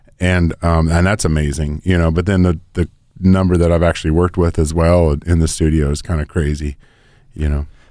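In a very deep, dark, mellow voice with an American accent, a man speaks with monotone, flat intonation and very even loudness. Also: fairly quick pace. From Northern California (Oakland, Nevada City). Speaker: recording engineer and studio owner. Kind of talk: casual interview.

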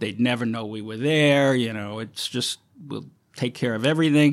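A man with a plain, everyday voice talks at a moderate pace and medium pitch, using ordinary pitch variation. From Brooklyn, New York. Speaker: film location manager. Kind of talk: interview.

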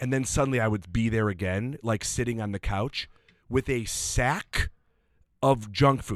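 A man with an ordinary speaking voice talks at medium pitch, with ordinary pitch variation, at a moderate pace. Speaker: comedian and impressionist. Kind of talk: casual chat.

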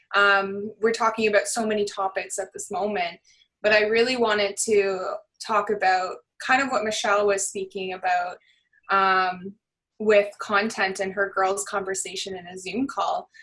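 Speaking at a moderate pace, a woman keeps her intonation monotone and flat. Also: medium pitch for a woman. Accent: Canadian. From Barrie, Ontario, Canada. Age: 30s. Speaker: social media influencer. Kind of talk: casual chat. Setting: video call.

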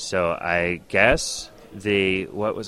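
Noticeable background noise sits behind a man's voice. He speaks at a fairly low pitch with fairly even intonation. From Canada, partly Northwest Territories. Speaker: comedian. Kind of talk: interview.

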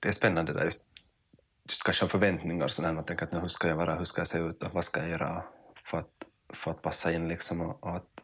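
A man with a very deep, low pitch speaks at a very fast pace in a monotone, flat intonation. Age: 30s. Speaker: podcast host. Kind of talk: casual interview conversation. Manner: halting, many repetitions.

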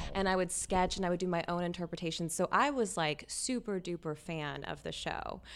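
A woman with vocal fry and a fairly low pitch, at a fairly quick pace with hardly any pauses and ordinary pitch variation. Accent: American. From Louisiana, US South. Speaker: fashion designer. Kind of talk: interview. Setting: studio. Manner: animated.

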